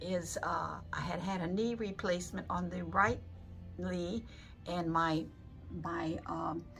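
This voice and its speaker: Very slow delivery with long, frequent pauses and music in the background. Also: woman. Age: 80s+. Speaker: patient. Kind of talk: patient testimonial.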